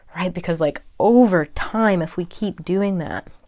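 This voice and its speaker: A woman with an American accent speaks at a fairly slow pace, her fairly low pitch and dark, mellow tone set in fairly even intonation, in a very clean recording with a silent background. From California. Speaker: podcast host and holistic health coach. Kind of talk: personal monologue.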